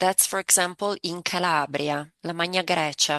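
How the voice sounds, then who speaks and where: This woman speaks with an Italian accent. Her pitch is fairly low and her pace fairly slow. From Italy. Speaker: language coach. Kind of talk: interview.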